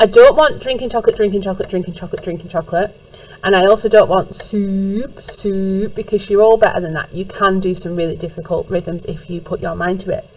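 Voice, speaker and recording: Amid noticeable background noise, a woman with a medium pitch speaks at a fairly quick pace, her intonation fairly even and her loudness swinging widely. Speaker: music teacher. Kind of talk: recorded lesson instructions for class.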